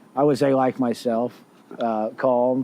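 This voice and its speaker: A man talks at a fairly slow pace. His pitch sits in the middle range. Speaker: golf course assistant manager. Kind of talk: casual chat. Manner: a little loud.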